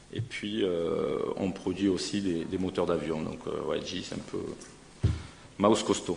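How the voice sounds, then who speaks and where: In a room with audible echo, a man with a northern French accent speaks at a fairly slow pace with long, frequent pauses. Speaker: pharmaceutical company representative. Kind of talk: conference presentation. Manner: halting, many hesitations.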